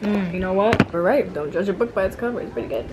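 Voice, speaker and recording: A woman's voice at a very fast pace, with ordinary pitch variation and music in the background. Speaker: vlogger. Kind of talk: casual vlog chat.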